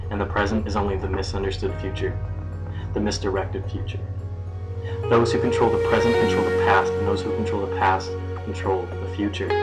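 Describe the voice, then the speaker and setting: Loud music plays in the background. Over it, a man speaks at a fairly quick pace. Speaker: slam poet. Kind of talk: slam poetry performance. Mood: intense, anguished. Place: home room. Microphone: webcam.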